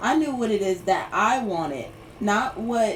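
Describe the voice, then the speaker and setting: Audible room echo surrounds a woman's voice. She speaks at a medium pitch and a fairly slow pace. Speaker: livestreamer. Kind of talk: casual livestream chat. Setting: Instagram live stream. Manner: rambling, filler-heavy.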